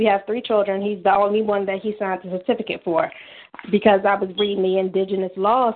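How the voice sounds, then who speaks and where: In an American accent, a woman speaks in a plain, everyday voice. Her pitch is medium and her intonation fairly even. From Washington D.C. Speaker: caller, mother. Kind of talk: call-in question about custody and birth records. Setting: phone call.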